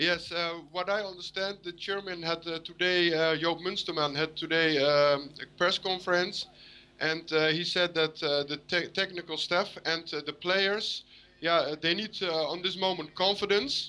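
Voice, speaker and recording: With a Dutch accent, a man speaks at a moderate pace in a high, bright, sharp voice, his intonation fairly even over a quiet background. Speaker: football fan caller. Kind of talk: call-in interview. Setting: Skype video call. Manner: halting, many hesitations.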